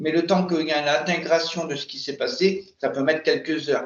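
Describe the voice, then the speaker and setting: A man speaks at a high pitch and a moderate pace. His intonation is fairly even. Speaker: regression hypnosis practitioner. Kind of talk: post-session debrief with client. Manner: halting, many repetitions.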